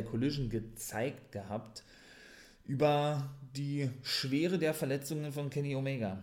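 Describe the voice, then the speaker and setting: At a fairly slow pace, a man speaks in a somewhat breathy voice at a medium pitch. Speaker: wrestling podcaster. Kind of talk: wrestling show recap podcast. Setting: home podcast recording. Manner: enthusiastic fan, opinionated, casual; slightly rambling, repeats words.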